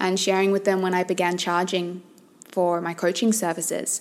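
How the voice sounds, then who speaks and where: A woman talks at a fairly quick pace and medium pitch. She has an unremarkable speaking voice. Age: 30s. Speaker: life coach and podcast host. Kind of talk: solo monologue podcast. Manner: warm, conversational.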